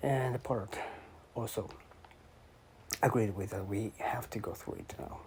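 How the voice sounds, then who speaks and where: A man talks at a moderate pace, his medium pitch showing ordinary variation, while noticeable background noise plays behind him. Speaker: language learner. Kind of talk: reading aloud with commentary. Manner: halting.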